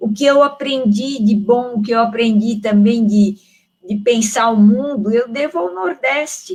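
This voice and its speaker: This woman has a São Paulo accent and a fairly high pitch. She speaks at a fairly slow pace with ordinary pitch variation. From São Paulo, Brazil. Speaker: theologian. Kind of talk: panel discussion. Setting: online live stream. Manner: halting.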